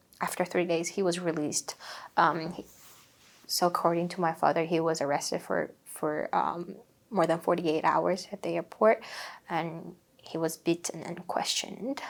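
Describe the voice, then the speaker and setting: This woman has a Xinjiang accent and a fairly low pitch. Her intonation stays fairly even. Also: moderate pace. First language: Uighur. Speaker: human rights activist. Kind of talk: interview. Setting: seated interview. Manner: halting.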